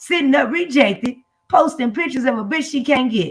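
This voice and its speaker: Her voice is high and animated, with lively intonation. The woman keeps a moderate pace. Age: 60s. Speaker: live stream host. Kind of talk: casual chat.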